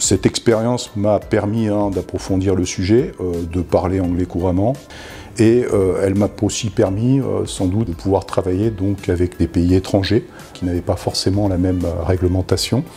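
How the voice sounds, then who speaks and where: A man talks at a moderate pace in a very deep, low voice with ordinary pitch variation. Music plays in the background. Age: 50s. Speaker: data privacy officer. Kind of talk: testimony. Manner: hesitant, many fillers.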